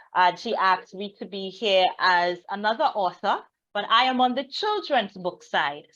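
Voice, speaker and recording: A woman with a Trinidadian accent, medium pitch, lively intonation and a moderate pace. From Trinidad and Tobago. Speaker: children's book author. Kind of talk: guest talk at a reading event.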